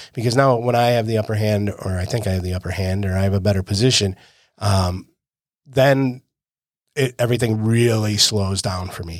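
This man has a fairly low pitch and an ordinary speaking voice, moving at a moderate pace. The recording is very clean, with a silent background. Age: 50s. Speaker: jiu-jitsu coach and podcast co-host. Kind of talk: casual chat.

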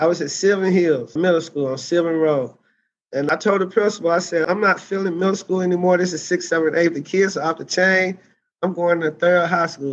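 Speaking with an Arkansas accent, this voice moves at a fairly quick pace with ordinary pitch variation. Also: man. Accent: Southern US (Arkansas). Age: 40s. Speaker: teacher and political candidate. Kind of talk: interview.

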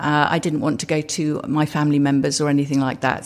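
This woman speaks with a southern English accent. Her pitch is very deep and low. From England, Suffolk. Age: 70s. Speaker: entrepreneur. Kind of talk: interview. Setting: in person, Los Angeles.

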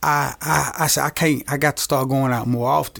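At a fairly slow pace, a man with an Arkansas accent speaks at a medium pitch in a very clean recording with a silent background. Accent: Southern US (Arkansas). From Arkansas, Camden. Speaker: small business owner. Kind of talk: interview, personal testimony.

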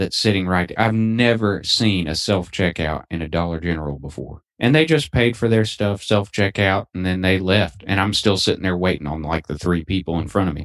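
A man's very deep, low pitch stands out against a quiet background. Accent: Southern US. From Alabama. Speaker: podcast co-host. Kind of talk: casual chat.

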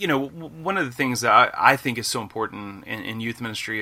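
A man's medium-pitched, bright, sharp voice with ordinary pitch variation at a moderate pace. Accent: Alabama. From US South, northeast Alabama. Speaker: youth minister and author. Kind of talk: casual interview. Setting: video call.

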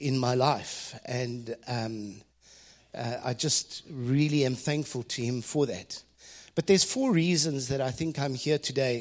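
A fairly high-pitched man with a South African accent, speaking at a fairly slow pace. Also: very clean recording, silent background. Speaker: ministry leader and business consultant. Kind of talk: devotional talk. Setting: stage with audience.

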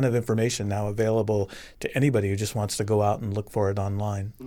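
Man with an American accent, very fast pace, fairly even intonation. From Arizona, Tucson. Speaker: bird curator. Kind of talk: casual chat. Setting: studio.

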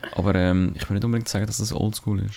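The man's intonation stays fairly even. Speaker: podcast co-host. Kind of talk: casual chat.

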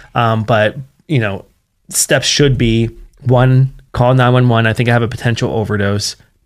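With an American accent, a man talks in a plain, everyday voice at medium pitch with fairly even intonation. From West Virginia. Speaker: nonprofit founder, addiction recovery advocate. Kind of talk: interview.

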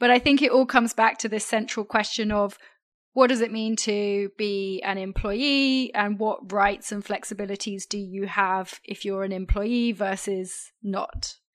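A woman at medium pitch with a British accent, fairly slow and fairly even in intonation. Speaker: podcast co-host. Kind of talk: news discussion podcast.

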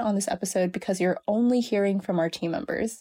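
A woman with an American accent speaks at a moderate pace in a dark, mellow tone, using ordinary pitch variation. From US West Coast, California Bay Area. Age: 20s. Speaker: podcast host. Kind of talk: scripted intro; casual chat.

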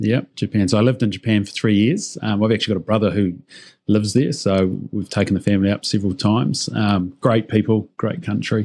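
A man's fairly low-pitched voice is captured on a very clean recording with a silent background. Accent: New Zealand. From New Zealand, Auckland. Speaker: company CEO. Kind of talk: interview.

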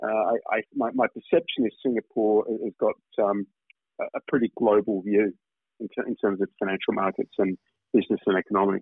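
A man with a fairly low, slightly husky voice speaks at a fairly quick pace with little pitch movement, recorded dry and close with no echo.

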